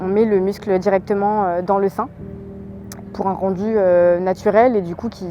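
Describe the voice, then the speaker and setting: A woman talks in a monotone with flat intonation. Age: 20s. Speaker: amateur marathon runner and cancer survivor. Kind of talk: interview testimony. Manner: hesitant with many fillers.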